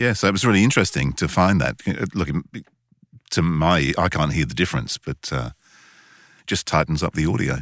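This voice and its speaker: A man's very deep, low voice with vocal fry, fairly quick pace and lively intonation, broken by long, frequent pauses, in a dry, close sound with no echo and a very clean recording over a silent background. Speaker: voice actor and podcast host. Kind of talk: casual chat.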